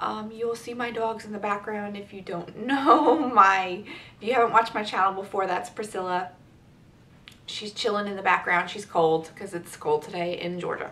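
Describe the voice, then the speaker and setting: Her loudness swings widely as the woman talks at a moderate pace with ordinary pitch variation. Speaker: beauty vlogger. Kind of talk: casual vlog chat. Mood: chatty, upbeat. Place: home room. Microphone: camera far.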